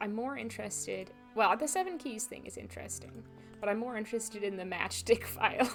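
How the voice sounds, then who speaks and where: A moderately paced woman's voice over background music. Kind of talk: casual, unpolished. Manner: loose articulation.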